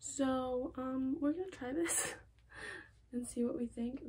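This woman's voice sits high and shows ordinary pitch variation. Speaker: fashion vlogger. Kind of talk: casual vlog chat. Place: home room. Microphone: phone near.

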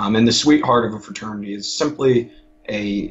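Over music in the background, a man speaks at a moderate pace with a fairly low pitch and fairly even intonation. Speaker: college student and fraternity member. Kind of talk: casual interview. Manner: halting.

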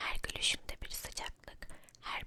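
Whispering at a fairly slow pace fills the clip. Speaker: storyteller. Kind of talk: ASMR story reading. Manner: whispered.

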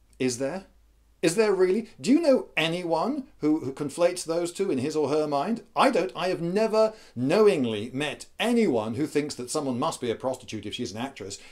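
Against a quiet background, a man with a British accent and a fairly high voice speaks at a moderate pace, his pitch swinging very widely. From England. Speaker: video blogger giving opinion. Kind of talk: angry rant. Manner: indignant, sarcastic. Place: home room.

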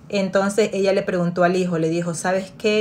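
With light background noise, a woman speaks fairly quickly in a fairly low pitch and fairly even intonation. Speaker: storyteller. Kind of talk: story time, retelling a family drama in a confiding bedtime-story tone. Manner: narrative, steady pace with a storyteller's suspense; conversational, retelling with repetitions and filler. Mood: calm, engaged narration. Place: home room. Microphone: phone near.

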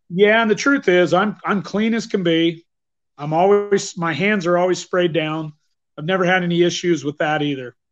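Over noticeable background noise, a man with a high pitch and an American accent speaks with ordinary pitch variation. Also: moderate pace. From northern Idaho, US. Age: 50s. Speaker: bowhunter and teacher; teacher. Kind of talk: interview. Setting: video call. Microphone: video call.

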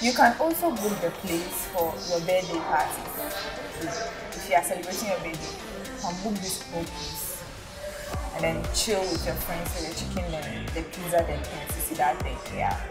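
Over loud background music, a woman speaks at a moderate pace. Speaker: food vlogger. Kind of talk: casual vlog review. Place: bar. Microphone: lapel.

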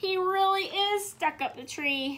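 A woman puts on a character voice at an extremely high pitch, with a bright, sharp tone, ordinary pitch variation and a fairly slow pace.

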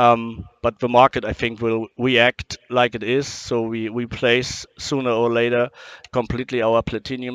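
A man talks at a moderate pace with a German accent. His intonation is monotone and flat, and the sound is dry with no echo. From Germany. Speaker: power supply company representative; guest. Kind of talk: interview. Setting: trade show booth. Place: hall. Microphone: headset.

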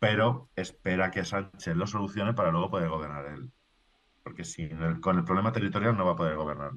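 Speaking fairly quickly, a man with a very deep, low pitch shows ordinary pitch variation. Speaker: political journalist. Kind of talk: casual political discussion. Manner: halting, repetitive.

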